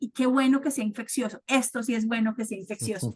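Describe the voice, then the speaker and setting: The speaker is a woman with a high pitch. Her pitch variation is ordinary. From Colombia, Cali. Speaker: sterilization specialist speaker. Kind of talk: guest talk closing remarks.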